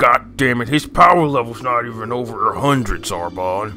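Clear music plays in the background as a man puts on a character voice. His pitch sits in the medium range, and he keeps a moderate pace. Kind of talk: crude comic parody dubbing. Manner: irritable, blunt, swearing.

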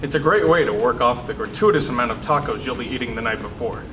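Music is playing behind the speech. The speaker is a man. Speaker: student news anchor. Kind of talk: news announcements with jokes. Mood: dry deadpan humor. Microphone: lapel.

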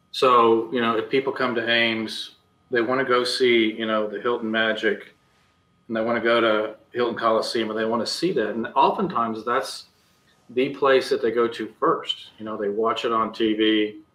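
A man with an American accent at a moderate pace, fairly even intonation, and audible room echo. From Iowa, US Midwest. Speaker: architect; guest. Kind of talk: interview. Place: home room. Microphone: video call.

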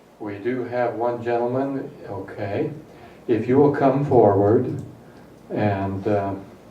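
A man with an American accent speaks at a very slow pace, his pitch medium and its variation ordinary. Room echo is audible in the recording. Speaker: mayor chairing city council. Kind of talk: council meeting chairing. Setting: council chamber.

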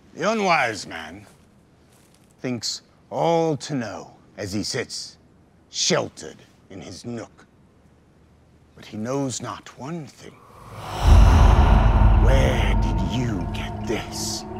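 Putting on a character voice, a raspy man with fairly low pitch talks at a very slow pace with long, frequent pauses. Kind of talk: mock-epic theatrical delivery. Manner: solemn, archaic, proverb-quoting.

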